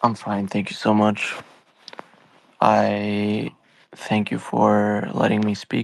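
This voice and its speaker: A man with a non-native accent speaks at a very slow pace, with long, frequent pauses. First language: not English. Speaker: trader caller. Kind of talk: live audio Q&A. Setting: online audio space.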